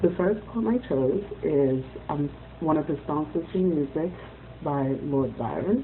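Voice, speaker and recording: Her pitch is very deep and low, and her intonation lively, as a woman with a Haitian accent speaks at a fairly slow pace. Noticeable background noise runs underneath. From Haiti, Port-au-Prince. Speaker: student. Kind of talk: class presentation reading poems aloud. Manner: formal.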